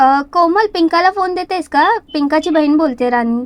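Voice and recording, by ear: Her voice is high-pitched and her intonation lively as this woman talks. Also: moderate pace.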